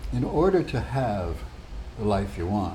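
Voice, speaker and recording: Speaking very slowly with an American accent, a man is heard in a room with audible echo. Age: 80s+. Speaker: retired physicist and psychotherapist. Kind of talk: casual monologue to camera.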